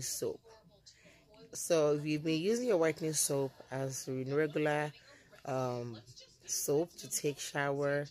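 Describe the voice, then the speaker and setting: A woman's very deep, low pitch with ordinary pitch variation, at a fairly slow pace with long, frequent pauses. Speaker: soap maker and seller. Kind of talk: tutorial. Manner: halting.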